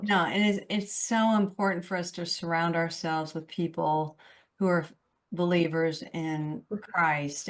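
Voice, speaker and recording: A woman with a normal speaking voice talks at a fairly low pitch and a fairly slow pace. Her intonation is fairly even, and the background is quiet. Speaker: radio show host. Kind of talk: radio interview, host questions.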